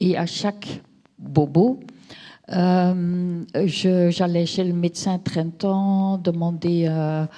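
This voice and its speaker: A woman speaks at a very slow pace with long, frequent pauses. Her voice is fairly low in pitch, with fairly even intonation. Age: 60s. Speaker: patient giving testimony. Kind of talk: testimony. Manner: hesitant.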